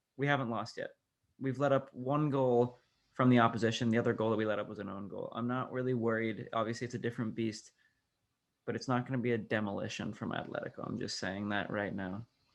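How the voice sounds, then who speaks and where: Very fast and quiet, a man talks at a medium pitch with fairly even intonation. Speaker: podcast host. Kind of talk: casual chat.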